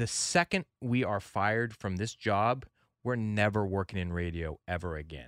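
Man's fairly low, animated voice with lively intonation at a moderate pace, dry and close with no echo, on a very clean recording with a silent background. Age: 30s. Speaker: radio producer and podcast co-host. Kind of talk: casual chat.

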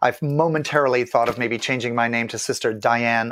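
A man with an unremarkable speaking voice and medium pitch talks at a fairly quick pace with fairly even intonation. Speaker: drag nun activist. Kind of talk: interview.

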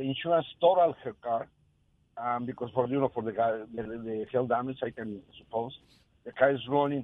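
Speaking at medium pitch with ordinary pitch variation, a man with an ordinary speaking voice keeps a moderate pace. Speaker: regular caller, car business worker. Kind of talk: call-in conversation. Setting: phone call.

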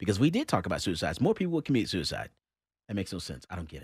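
A man at a very fast pace, fairly high in pitch with very wide pitch swings and vocal fry, over a silent background in a very clean recording. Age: 50s. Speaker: radio talk show host and gun shop owner. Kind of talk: casual talk radio chat.

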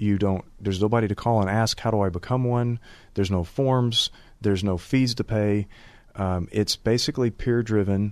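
Here is a man with a normal speaking voice and a fairly low pitch. His pace is moderate, his intonation fairly even and his loudness very even. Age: 50s. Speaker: divorce attorney. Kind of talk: radio interview.

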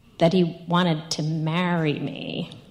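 Through clear background noise, a woman talks with an American accent. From New York. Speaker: storyteller. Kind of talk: personal storytelling.

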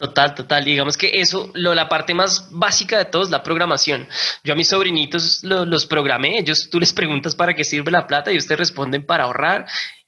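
Over noticeable background noise, a man talks at a fairly quick pace with very even loudness and hardly any pauses. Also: fairly high pitch for a man. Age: 30s. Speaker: personal finance educator. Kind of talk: interview. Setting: remote call. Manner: animated.

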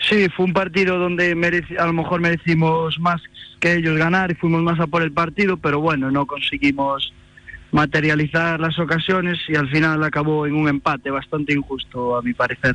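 Over noticeable background noise, a man speaks with fairly even intonation and very even loudness. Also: moderate pace. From A Coruña, Spain. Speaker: amateur footballer and student. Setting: phone call.

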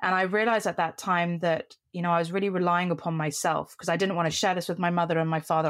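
Speaking very fast with a British accent, a woman has a fairly low pitch and fairly even intonation. The recording is very clean, with a silent background. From Middle East (Qatar, Cyprus), schooled in UK. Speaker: CEO of a mentoring organisation. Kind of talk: podcast interview.

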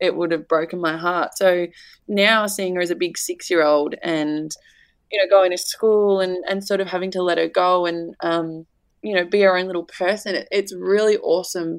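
In a very clean recording with a silent background, a woman with an Australian accent speaks at a moderate pace in a medium pitch with fairly even intonation. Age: 20s. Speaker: mother and social media personality. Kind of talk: casual interview chat.

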